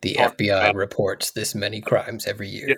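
A man speaks in a put-on character voice, raspy and fairly low-pitched. His pace is moderate. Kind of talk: dramatic, documentary announcer. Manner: grave, portentous.

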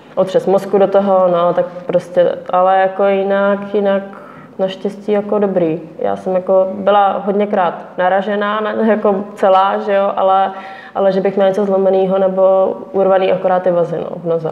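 Against noticeable background noise, a woman speaks at a moderate pace. Her medium pitch stays monotone and flat. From Czech Republic, Pardubice. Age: 20s. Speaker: motocross rider. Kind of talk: interview.

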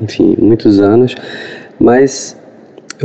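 There is noticeable background noise as a man speaks at a very slow pace. His pitch sits fairly low. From Recife, Brazil. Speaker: film critic. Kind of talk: personal recollection. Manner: halting.

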